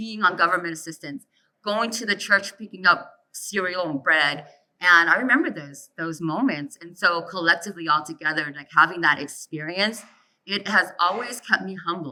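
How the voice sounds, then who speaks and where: With an ordinary speaking voice, a woman talks at a moderate pace and fairly low pitch, her pitch varying in an ordinary way while her loudness swings widely. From US, child of immigrant family. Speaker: panelist. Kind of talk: panel discussion.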